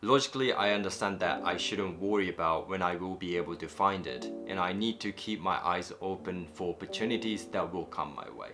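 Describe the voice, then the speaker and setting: A fairly quick pace with hardly any pauses and lively intonation, music in the background. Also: man, very deep, low pitch for a man. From Japan. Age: 20s. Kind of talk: personal reflective vlog narration.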